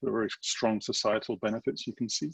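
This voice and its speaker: A man with an English accent, medium pitch, and a fairly quick pace, in a dry, close sound with no echo over a quiet background. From England. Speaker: government agency design director. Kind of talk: webinar presentation.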